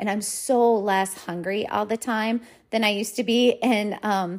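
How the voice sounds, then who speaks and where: A woman with a normal speaking voice talks at a fairly slow pace and a fairly high pitch. The recording is very clean, with a silent background. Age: 40s. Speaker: weight loss coach and counselor. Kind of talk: podcast monologue. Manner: casual, with many filler words.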